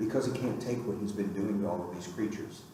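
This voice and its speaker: The recording carries noticeable noise in the background along with audible echo from the room. The voice belongs to a man. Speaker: author teaching a writing workshop. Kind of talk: lecture.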